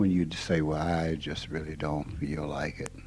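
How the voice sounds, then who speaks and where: A man with a dark, mellow tone and a Southern US accent speaks at a fairly slow pace. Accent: Southern American. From Mississippi. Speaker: spiritual teacher. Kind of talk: informal spiritual talk.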